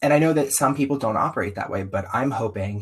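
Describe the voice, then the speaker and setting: In a very clean recording with a silent background, a man with a slight Southern US accent talks at a fairly quick pace, somewhat breathy, with ordinary pitch variation. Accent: slight Southern twang. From US South. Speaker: circus performer, podcast guest. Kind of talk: interview conversation. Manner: animated.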